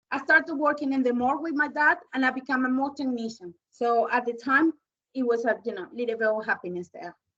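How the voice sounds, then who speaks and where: Talking very fast, a woman with a Spanish accent has a high pitch, a bright, sharp tone and ordinary pitch variation. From Venezuela. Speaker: domestic abuse survivor. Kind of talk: testimony.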